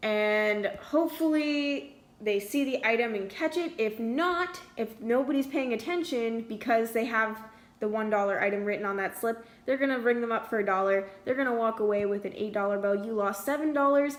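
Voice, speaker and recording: Noticeable background noise accompanies a woman who talks fairly quickly. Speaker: student art sale organiser. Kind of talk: screen-recorded tutorial. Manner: hesitant, many fillers.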